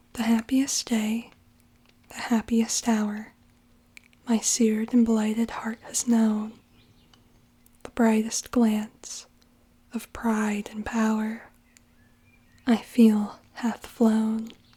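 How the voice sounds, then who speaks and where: Soft-spoken, the voice moves at a very slow pace. Long pauses come often. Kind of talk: poetry reading, ASMR.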